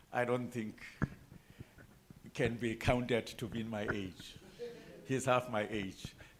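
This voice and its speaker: A man at a fairly slow pace, long, frequent pauses, audible room echo. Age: 60s. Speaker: electoral reform panel chairperson. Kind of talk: panel discussion. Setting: conference room with audience.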